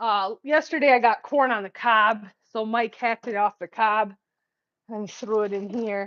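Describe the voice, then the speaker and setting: In a dry, close recording with no echo and a quiet background, a woman speaks at a moderate pace with a fairly high pitch. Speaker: vlogger. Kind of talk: casual vlog chat. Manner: animated.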